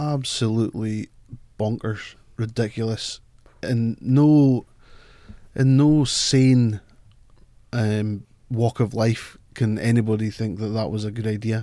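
A man's dark, mellow voice in a Scottish Highlands accent, medium in pitch, at a very slow pace with fairly even intonation and long, frequent pauses, on a very clean recording with a silent background. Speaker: football fan pundit. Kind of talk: casual chat. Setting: studio.

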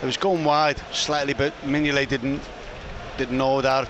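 Against noticeable background noise, a man with a fairly high pitch talks at a moderate pace in a monotone, flat intonation. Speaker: football pundit, co-commentator. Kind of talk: live co-commentary, analyst chat.

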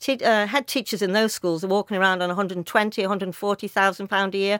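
A woman of medium pitch with a Liverpool accent, her sound dry and close with no echo, in a very clean recording against a silent background. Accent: Scouse (Liverpool). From Liverpool, England. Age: 60s. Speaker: teachers' union representative. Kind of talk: radio interview. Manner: animated.

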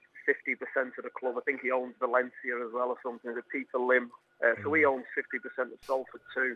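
A man with a Liverpool accent talks at a fairly quick pace. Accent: Scouse. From Liverpool, England. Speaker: footballer. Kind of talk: radio interview.

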